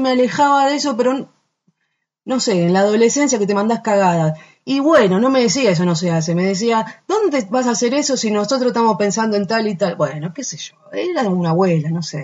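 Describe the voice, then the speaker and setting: A woman talks at a fairly quick pace with a fairly high, somewhat breathy voice. Her pitch swings very widely. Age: 40s. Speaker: singer. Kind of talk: casual interview. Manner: halting.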